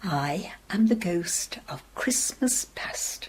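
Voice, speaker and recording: Whispering in a put-on character voice, a woman speaks at a very slow pace. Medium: read story. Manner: calm, grave, unhurried.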